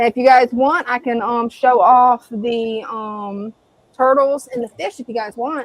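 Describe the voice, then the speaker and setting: A woman with an American accent speaks at a fairly slow pace in a high pitch with fairly even intonation. Her loudness swings widely, and the sound is dry and close with no echo. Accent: Southern US accent, toned down. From US South. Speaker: live stream co-host. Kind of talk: casual live stream chat.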